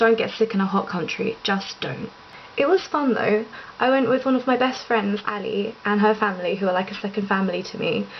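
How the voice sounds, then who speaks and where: With an English accent, a woman speaks at a fairly quick pace and a fairly high pitch with ordinary pitch variation, over noticeable background noise. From England. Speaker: vlogger. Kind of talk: casual monologue vlog. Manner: fast; animated.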